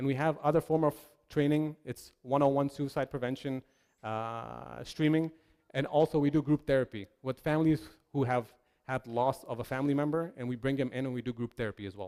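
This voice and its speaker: Dry and close with no echo, a man's medium-pitched voice has a dark, mellow tone, fairly even intonation and a fairly quick pace. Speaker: mental health trainer. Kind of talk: seminar presentation. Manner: loud.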